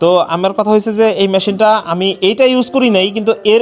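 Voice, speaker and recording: High in pitch, a man's voice moves with ordinary pitch variation. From Bangladesh, Faridpur (Padma char area). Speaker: small livestock farmer and customer. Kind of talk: casual interview, customer testimonial.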